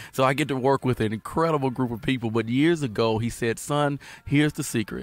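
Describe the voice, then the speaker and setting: Fairly quick, medium-pitched male speech with a Louisiana accent and ordinary pitch variation, with music in the background. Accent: US Southern (Louisiana). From Southwest Louisiana. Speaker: pastor. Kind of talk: casual chat.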